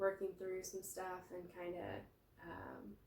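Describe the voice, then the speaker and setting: In a room with audible echo, a woman speaks at a very slow pace with a medium pitch and monotone, flat intonation. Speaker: massage therapist. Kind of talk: guided movement tutorial. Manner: halting, many fillers; slow, reflective.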